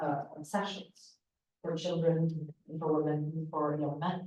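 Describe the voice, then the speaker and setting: A woman's fairly low voice with audible room echo. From Syria, Palestinian family. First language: Arabic. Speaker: political analyst and former spokesperson. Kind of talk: panel discussion. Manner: impassioned, halting with fillers.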